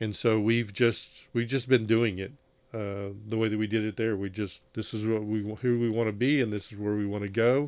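At a moderate pace, the speech has monotone, flat intonation on a very clean recording with a silent background. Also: man, fairly low pitch for a man. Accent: Southern US. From Mississippi. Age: 60s. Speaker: former missionary, nonprofit executive director. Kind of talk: testimony. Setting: on-location recording.

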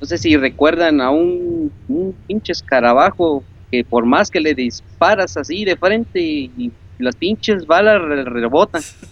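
Intonation stays lively while the words come at a fairly slow pace. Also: man, fairly high pitch for a man. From Córdoba, Veracruz, Mexico. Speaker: video game fan caller. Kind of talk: casual chat. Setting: Skype call.

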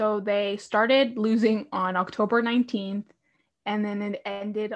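Using an ordinary speaking voice, a woman talks at a moderate pace with a fairly high pitch and fairly even intonation. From Canada. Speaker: hockey podcast host. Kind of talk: trivia quiz hosting; casual chat.

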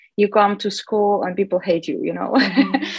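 Captured in a dry, close sound with no echo, a woman speaks with a Russian accent. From Russia, Chelyabinsk (South Ural). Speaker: classical guitarist. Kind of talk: interview. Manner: halting, many fillers.

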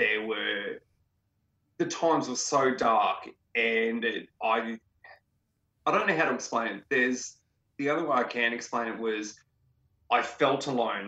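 Speaking in an Australian accent, a man goes at a fairly slow pace, leaving long, frequent pauses. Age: 30s. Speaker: interviewee sharing mental health story. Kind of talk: personal testimony in interview.

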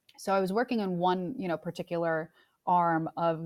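In a plain, everyday voice with an American accent, the speaker goes at a moderate pace with fairly even intonation, in a very clean recording with a silent background and a dry, close sound with no echo. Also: woman. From New York. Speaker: music industry executive. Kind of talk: interview.

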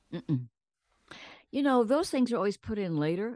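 A woman with a dark, mellow tone and very wide pitch swings, in a dry, close sound with no echo. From US South, San Antonio, Texas. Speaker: actress and producer. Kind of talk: interview storytelling.

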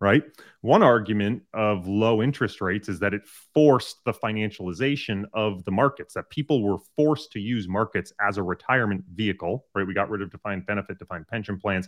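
An unremarkable speaking voice from a man at a fairly quick pace, hardly any pauses, a dry, close sound with no echo, and a quiet background. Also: fairly low pitch for a man, ordinary pitch variation. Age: 30s. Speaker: asset manager and quant researcher. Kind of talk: interview.

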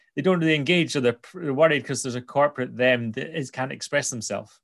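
In a Scottish accent, a man speaks at a fairly high pitch over a quiet background. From Scotland, Angus. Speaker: podcast host. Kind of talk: casual interview chat; podcast intro.

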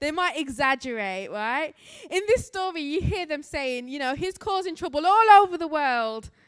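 At a moderate pace with an English accent, the voice swings very widely in pitch in a very clean recording with a silent background. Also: woman. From England, Birmingham. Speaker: missionary and guest preacher. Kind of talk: sermon. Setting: church.

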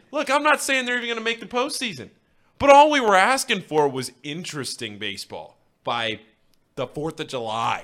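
At a moderate pace, a man speaks in a high voice. His pitch swings very widely. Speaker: co-host. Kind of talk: casual sports talk show.

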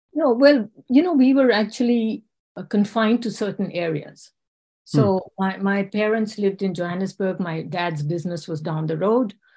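Against a quiet background, a woman with a medium pitch speaks at a moderate pace in a dark, mellow, somewhat breathy tone with lively intonation. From India and England, born in South Africa. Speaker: homeopath. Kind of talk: interview.

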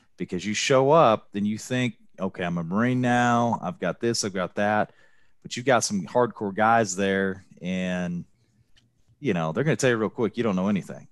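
A man with an unremarkable speaking voice talks at a moderate pace, his pitch fairly low with ordinary variation. The recording is very clean and silent behind him, the sound dry and close with no echo. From US Midwest, moved to Texas as a child. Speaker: Marine veteran, hospital purchasing director. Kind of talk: casual interview.

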